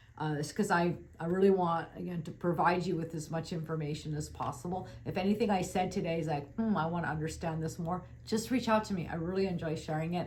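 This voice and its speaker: A woman speaks very fast in a fairly low pitch. Her intonation stays fairly even, and the room echo is audible. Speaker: financial advisor. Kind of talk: webinar presentation.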